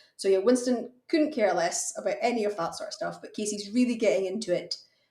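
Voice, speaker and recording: Somewhat breathy and fairly quick, a woman speaks with a fairly high pitch, a dark, mellow tone and very wide pitch swings. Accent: Hebridean. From Outer Hebrides, Scotland. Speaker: fencing contractor. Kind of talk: podcast interview.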